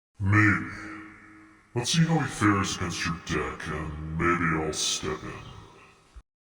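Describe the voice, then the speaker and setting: A man speaks in a put-on character voice, pitched very deep and low. He talks at a very slow pace, with a clear echo around him. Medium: audio drama. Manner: terse, dry, sardonic.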